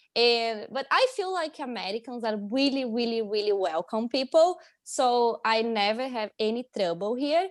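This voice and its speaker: In a Brazilian accent, a woman with a fairly high pitch talks at a moderate pace with lively intonation and hardly any pauses, in a very clean, dry, close recording with a silent background and no echo. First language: Portuguese. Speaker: international student. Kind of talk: casual interview chat.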